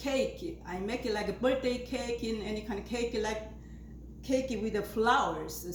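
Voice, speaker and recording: Recorded with audible room echo and noticeable background noise, a woman with an Asian accent talks at a fairly slow pace. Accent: non-native Asian. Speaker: flower arranging video maker. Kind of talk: tutorial. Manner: halting, many fillers.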